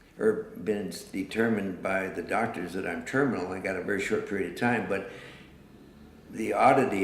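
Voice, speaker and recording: Audible room echo around a man in an American accent, his pace moderate. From eastern Washington. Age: 60s. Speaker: artist. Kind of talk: interview. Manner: halting.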